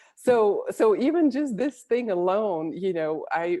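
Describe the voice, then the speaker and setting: A woman with a Bulgarian accent speaks at a fairly slow pace, her dark, mellow tone carrying lively intonation. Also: dry, close sound with no echo. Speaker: Olympic athlete and executive coach. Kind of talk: interview.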